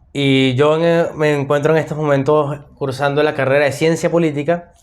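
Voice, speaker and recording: This man has a Venezuelan accent and a fairly high pitch. He speaks at a fairly slow pace. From Venezuela, Maracay. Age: 20s. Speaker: podcast host, political science student. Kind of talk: casual discussion podcast.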